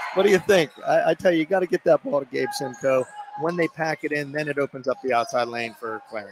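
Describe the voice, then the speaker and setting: A man with a fairly high pitch and lively intonation at a very fast pace, dry sound with no echo, noticeable background noise. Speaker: basketball color commentator. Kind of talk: live sports commentary. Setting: courtside at a high school gym. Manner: enthusiastic. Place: hall.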